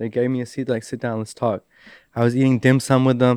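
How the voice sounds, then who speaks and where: A man talks at a fairly quick pace and a medium pitch. The sound is dry and close with no echo, on a very clean recording with a silent background. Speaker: cannabis dispensary owner and entrepreneur. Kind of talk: casual chat. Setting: studio. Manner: well spoken.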